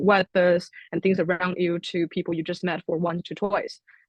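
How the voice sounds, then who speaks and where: A woman speaks with a Chinese accent. Her pitch is medium. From China. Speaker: international student. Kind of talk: panel discussion.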